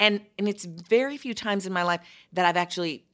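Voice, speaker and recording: A woman's bright, sharp voice at a fairly quick pace, ordinary pitch variation, on a very clean recording with a silent background. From Chicago. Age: 50s. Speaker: podcast host.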